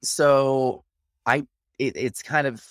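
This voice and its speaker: A man with an American accent talks in a very clean recording where the background is silent. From Kansas, US. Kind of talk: podcast interview.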